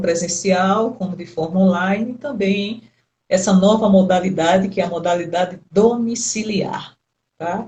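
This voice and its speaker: A woman's voice sits at a medium pitch, somewhat breathy, with pitch that varies in an ordinary way. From Brazil, Recife, Pernambuco. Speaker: psychologist. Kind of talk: interview.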